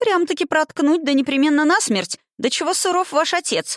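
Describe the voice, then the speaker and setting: In a squeaky, put-on character voice, a woman speaks at a high pitch and moderate pace on a very clean recording with a silent background. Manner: exclaiming in surprise.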